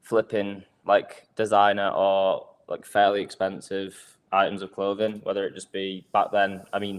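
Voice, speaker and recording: A man with an English accent speaks in a fairly low pitch with monotone, flat intonation. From Manchester, northern England. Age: 20s. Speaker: crypto project co-founder. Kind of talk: livestream interview.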